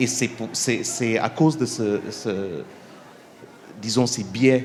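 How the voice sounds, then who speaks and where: Fairly even in intonation, a man with an English accent speaks at a medium pitch. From India. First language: English (speaking French). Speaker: documentary filmmaker, panelist. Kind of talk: panel discussion. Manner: halting, many hesitations; calm, measured.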